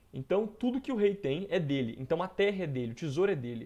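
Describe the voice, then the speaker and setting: At a fairly quick pace, a man with a dark, mellow tone speaks with lively intonation. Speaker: history teacher. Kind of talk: lecture. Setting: recorded video lesson. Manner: casual; fast.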